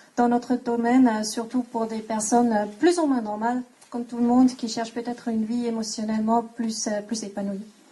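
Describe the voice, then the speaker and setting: A woman speaks at a fairly quick pace with a non-native accent. Her intonation is monotone and flat. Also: fairly high pitch for a woman. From Switzerland. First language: not French (speaking French). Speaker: equine coaching instructor. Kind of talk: conference talk. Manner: halting.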